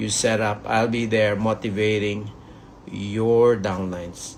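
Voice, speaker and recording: There is audible room echo around a man's voice. He talks fairly slowly with a monotone, flat intonation. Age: 60s. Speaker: network marketing leader. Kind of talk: motivational talk.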